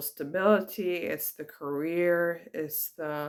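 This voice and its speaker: A woman's fairly low voice, ordinary pitch variation, at a very slow pace. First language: bilingual English and Italian. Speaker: spiritual vlogger. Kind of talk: personal reflection monologue. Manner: hesitant, many fillers.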